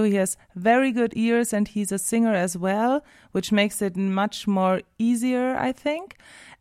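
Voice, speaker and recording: A woman with a German accent speaks at a fairly high pitch. Her intonation stays fairly even. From southern Germany. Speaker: singer and music teacher. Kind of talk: casual interview. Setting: radio studio.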